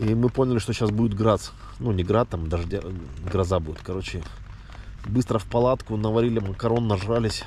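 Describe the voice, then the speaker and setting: Noticeable background noise accompanies a man who speaks fairly quickly at a fairly low pitch with fairly even intonation and long, frequent pauses. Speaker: hiking vlogger. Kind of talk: casual vlog narration while hiking. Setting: outdoors, mountain trail. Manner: casual, halting.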